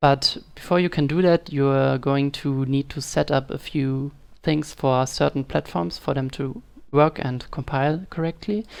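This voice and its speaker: Against a quiet background, the speaker uses a non-native accent, ordinary pitch variation and a fairly slow pace. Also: woman, very deep, low pitch for a woman. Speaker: game dev tutorial maker. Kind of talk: screen-recorded software tutorial. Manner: casual, hesitant.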